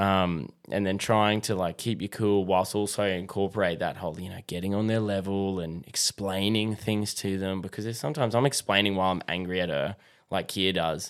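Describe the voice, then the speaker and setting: With an Australian accent, a man talks at a fairly quick pace with hardly any pauses, his fairly low voice keeping a fairly even intonation on a very clean recording with a silent background. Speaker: fatherhood podcaster. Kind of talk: casual chat. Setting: studio.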